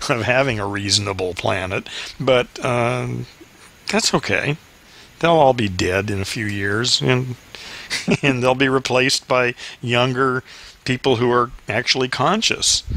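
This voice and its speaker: At a fairly slow pace, a man talks at medium pitch with ordinary pitch variation. Long, frequent pauses break up his speech, and noticeable background noise is present. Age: 60s. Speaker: podcast host. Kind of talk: casual chat. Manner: halting.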